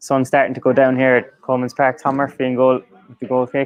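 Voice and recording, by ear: Speaking at a fast pace, a man holds a medium pitch with monotone, flat intonation.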